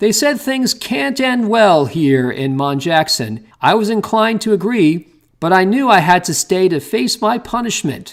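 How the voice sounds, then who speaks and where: A high-pitched put-on character voice from a man, with very wide pitch swings, a moderate pace and hardly any pauses. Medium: read story.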